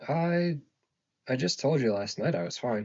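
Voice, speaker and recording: A man in a put-on, gravelly character voice speaks at a medium pitch and a moderate pace, his pitch swinging very widely. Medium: read story. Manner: blunt.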